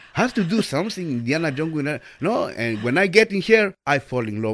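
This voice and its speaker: With a Spanish accent, a man talks at a fairly quick pace and fairly high pitch, making very wide pitch swings and hardly any pauses, on a very clean recording with a silent background. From El Salvador. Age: 50s. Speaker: volunteer radio host. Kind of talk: interview.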